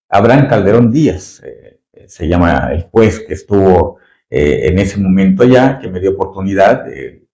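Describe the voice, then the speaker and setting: A man speaks fairly slowly with a Yucatecan accent and lively intonation. His voice is fairly low, with a dark, mellow tone. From Mexico, Yucatán. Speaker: retired judge. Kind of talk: interview. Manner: halting, many fillers.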